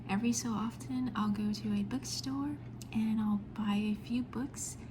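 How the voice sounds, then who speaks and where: A soft-spoken woman talks at a medium pitch. Noticeable background noise runs behind her. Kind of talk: ASMR show and tell, casual talk to camera. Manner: quiet, soft-spoken.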